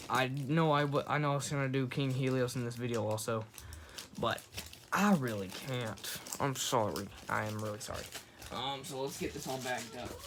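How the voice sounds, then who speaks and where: With audible room echo and noticeable background noise, a man speaks at a medium pitch and a fairly quick pace, using ordinary pitch variation and long, frequent pauses. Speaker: YouTuber doing toy unboxing. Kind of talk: casual unboxing video. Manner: hurried.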